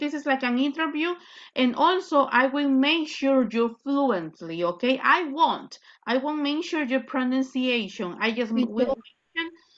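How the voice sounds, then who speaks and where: Very wide swings in pitch from a woman with a high voice. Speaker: English teacher. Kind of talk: online lesson instruction. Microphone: video call.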